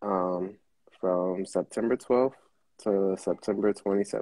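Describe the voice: Low-pitched and dark, mellow in tone, a man speaks in fairly even intonation with a slightly husky edge.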